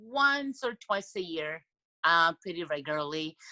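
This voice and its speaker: With a non-native accent, a woman speaks in a medium-pitched voice with a bright, sharp tone and very wide pitch swings, the sound dry and close with no echo. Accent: foreign. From Europe. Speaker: blind date participant. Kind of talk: casual chat. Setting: video call.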